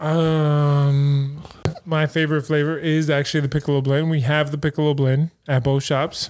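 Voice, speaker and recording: Over noticeable background noise, a man speaks at a moderate pace and fairly high pitch, with monotone, flat intonation and very even loudness. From San Francisco, California. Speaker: coffee shop owner. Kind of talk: casual chat.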